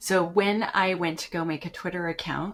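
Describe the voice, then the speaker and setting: A woman with a slight Canadian accent and ordinary pitch variation. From Canada. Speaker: application security educator. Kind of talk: podcast interview. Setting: remote call from home.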